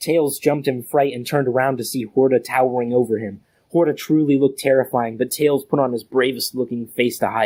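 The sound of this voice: The speaker uses an unforced reading voice. Intonation stays fairly even.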